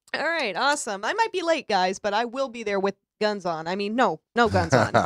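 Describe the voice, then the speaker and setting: Loud and fairly quick, a woman with a fairly high pitch speaks with vocal fry and very wide pitch swings in a dry, close sound with no echo. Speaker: radio talk show host. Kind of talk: casual talk radio chat. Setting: live internet radio stream. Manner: halting, many fillers.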